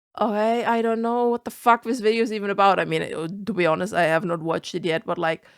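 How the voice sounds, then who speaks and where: A woman with a German accent talks at a very fast pace and an animated tone, hardly pausing, her medium pitch showing ordinary variation in a dry, close sound with no echo. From Germany. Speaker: vtuber. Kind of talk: reaction commentary.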